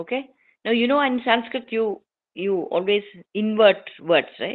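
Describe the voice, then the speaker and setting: A woman with a Keralan accent and a fairly high pitch, speaking at a fairly slow pace with ordinary pitch variation. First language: Malayalam. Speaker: invited speaker at a scholarly forum. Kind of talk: formal talk.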